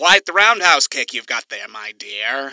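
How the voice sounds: A put-on character voice with a bright, sharp tone and big pitch swings moves at a fairly slow pace in a dry, close sound with no echo.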